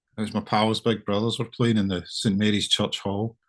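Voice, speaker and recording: With a Scottish accent, a man speaks at a moderate pace and a fairly low pitch. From Scotland, Irvine, Ayrshire. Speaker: singer-songwriter, musician. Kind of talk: casual interview chat. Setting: video call. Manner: halting, with many fillers and repeats.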